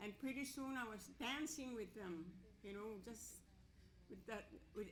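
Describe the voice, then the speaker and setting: Audible room echo surrounds a woman with a Canadian accent. She talks at a fairly slow pace with a fairly high pitch. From northern Manitoba, Cree First Nation. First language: Cree. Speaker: residential school survivor. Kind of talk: testimony. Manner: halting.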